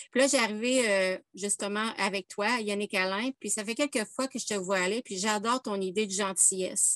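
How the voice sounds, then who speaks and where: In a Quebec accent, a woman at medium pitch speaks at a moderate pace with fairly even intonation, the sound dry and close with no echo against a quiet background. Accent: Québécois. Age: 50s. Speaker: workshop participant. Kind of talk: casual chat. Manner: halting.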